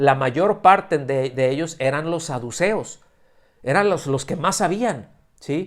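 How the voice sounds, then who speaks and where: Delivered at a very slow pace, the voice has lively intonation. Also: man, fairly high pitch for a man. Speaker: preacher. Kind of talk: sermon. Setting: church service streamed via video call. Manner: halting, many fillers and restarts.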